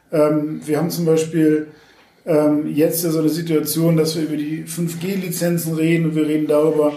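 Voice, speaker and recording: Amid noticeable background noise and audible room echo, a man with a fairly high pitch talks at a moderate pace in a monotone, flat intonation. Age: 40s. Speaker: media startup executive and party activist. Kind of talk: interview.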